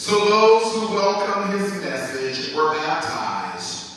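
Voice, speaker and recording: Very wide pitch swings come through at a very slow pace amid strong room echo. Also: man. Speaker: minister reading scripture. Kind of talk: scripture reading in a service. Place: church.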